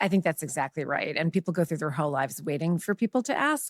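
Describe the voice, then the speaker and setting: A woman's very deep, low pitch with ordinary pitch variation, in a dry, close sound with no echo and a very clean recording with a silent background. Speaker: journalist. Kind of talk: casual interview. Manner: fast.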